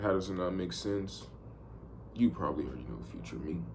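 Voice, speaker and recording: With audible room echo, a man speaks at a moderate pace in a very deep, low pitch marked by vocal fry. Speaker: vlogger, amateur trader. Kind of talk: casual video diary monologue. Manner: casual, rambling with repetitions.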